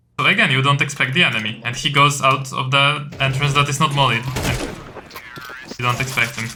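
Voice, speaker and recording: Over music in the background and audible room echo, a man speaks at a fairly quick pace. His medium-pitched voice stays monotone, with flat intonation. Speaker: CS2 coach. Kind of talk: coaching session. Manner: loud.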